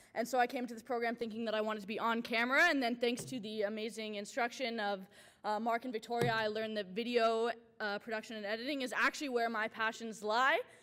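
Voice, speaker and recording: Energetic in tone, a woman with a fairly high pitch talks at a very fast pace amid noticeable background noise. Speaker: journalism student award winner. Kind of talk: acceptance speech.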